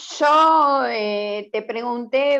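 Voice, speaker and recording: This woman's pitch is high. It rises and falls in an ordinary way. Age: 60s. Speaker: meeting participant. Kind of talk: panel discussion.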